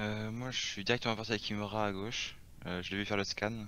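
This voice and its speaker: A man with a fairly low voice talks at a medium speed. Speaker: gamer. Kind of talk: casual game chat. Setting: voice chat.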